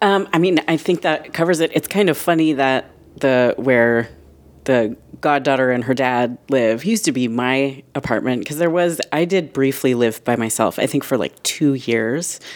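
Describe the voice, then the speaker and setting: With lively intonation, a woman speaks at a very deep, low pitch. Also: moderate pace. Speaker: podcast producer. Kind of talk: casual chat.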